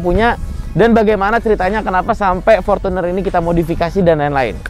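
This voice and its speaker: Ordinary pitch variation, a dry sound with no echo and faint music in the background. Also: man. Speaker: channel host. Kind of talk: car review presentation. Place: street. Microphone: lapel.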